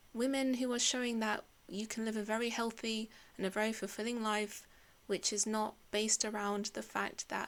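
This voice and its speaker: This woman has a fairly high pitch and a monotone, flat intonation. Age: 30s. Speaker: podcast host. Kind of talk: solo podcast monologue. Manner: casual, conversational.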